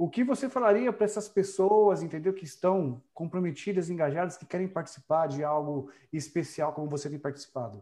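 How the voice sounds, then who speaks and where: A man with a Brazilian accent talks fairly quickly at a high pitch, his tone dark and mellow. His intonation is lively, his loudness swings widely, and the background is quiet. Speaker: online show host. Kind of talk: live-stream interview. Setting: live stream on Facebook.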